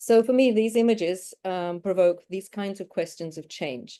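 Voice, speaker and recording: In an English accent, the voice carries a dark, mellow tone over a quiet background. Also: woman. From United Kingdom. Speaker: academic researcher presenting. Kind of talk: academic conference presentation.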